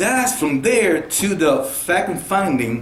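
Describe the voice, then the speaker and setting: A man talks at a high pitch with very wide pitch swings. Room echo and noticeable background noise are both audible. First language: Spanish. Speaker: car salesman. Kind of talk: interview.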